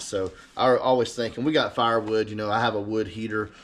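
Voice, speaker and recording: Using a fairly low pitch, a man with an Alabama accent speaks with fairly even intonation. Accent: Southern US (Alabama). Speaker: eBay reseller. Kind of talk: casual vlog talk. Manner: casual, hesitant with many fillers.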